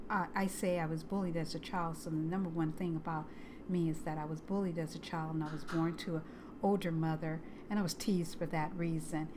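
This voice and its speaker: A woman with a fairly low pitch speaks at a fairly quick pace in a monotone, flat intonation, with audible room echo and noticeable background noise. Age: 60s. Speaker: crochet video creator. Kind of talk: casual personal vlog. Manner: halting, with many fillers.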